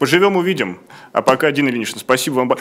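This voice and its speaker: Light background noise runs under a man whose pitch varies in an ordinary way. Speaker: show host; program host. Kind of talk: interview. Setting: studio. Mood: calm, thoughtful. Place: studio. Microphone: studio mic.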